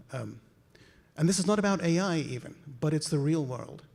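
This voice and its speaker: Speaking at a fairly quick pace, a man uses lively intonation with a slight South African accent. His pitch is fairly high. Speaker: conference speaker, medical imaging researcher. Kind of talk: conference talk. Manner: animated.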